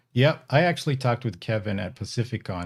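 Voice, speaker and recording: A man with an American accent talks at a fairly quick pace with lively intonation in an ordinary speaking voice. The recording is very clean, with a silent background. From Northern California, Bay Area. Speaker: ham radio podcaster and battery maker. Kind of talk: live stream casual chat. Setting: live stream.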